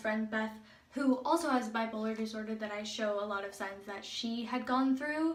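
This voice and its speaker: A woman's somewhat breathy voice at a fairly high pitch and moderate pace, with audible room echo. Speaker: video blogger. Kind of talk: casual personal vlog. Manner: animated.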